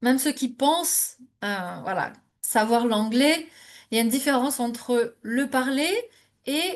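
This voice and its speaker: With ordinary pitch variation, a woman delivers her words at a fairly slow pace. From France, Normandy. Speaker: immigration coach. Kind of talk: webinar presentation. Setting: live online webinar. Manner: hesitant, many fillers.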